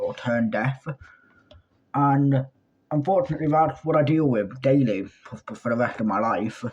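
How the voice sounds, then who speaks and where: Here is a man with a British accent. He speaks at a moderate pace. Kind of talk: storytime monologue. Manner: loud.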